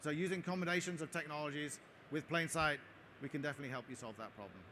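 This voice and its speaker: Talking at a very fast pace, a man has an English accent. His tone is bright and sharp, with ordinary pitch variation. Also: fairly high pitch for a man. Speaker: tech company product head giving conference talk. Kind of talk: conference talk with Q&A. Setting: stage at trade show with audience. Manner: hesitant with frequent fillers.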